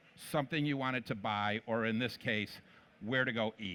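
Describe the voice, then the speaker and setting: In an American accent, a man of medium pitch talks at a moderate pace with a bright, sharp tone and ordinary pitch variation, the sound dry and close with no echo. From Michigan, US Midwest. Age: 60s. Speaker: company president, conference speaker. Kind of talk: conference talk. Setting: stage with audience.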